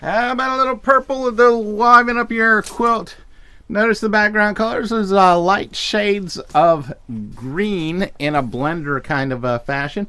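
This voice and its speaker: This man has a high pitch and a raised, projected voice. The recording is very clean, with a silent background. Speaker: online fabric shop host. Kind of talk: live sales show. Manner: casual, halting with fillers.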